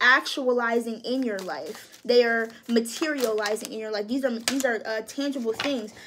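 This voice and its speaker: Noticeable background noise sits behind a woman whose high voice keeps a monotone, flat intonation. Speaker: tarot reader. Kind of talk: tarot reading. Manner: casual, hesitant.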